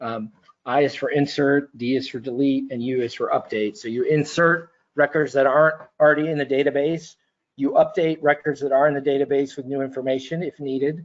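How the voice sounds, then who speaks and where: This man has a fairly high pitch and fairly even intonation. He speaks at a fairly quick pace. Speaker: data systems presenter. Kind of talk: webinar tutorial. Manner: fast; hesitant, many fillers.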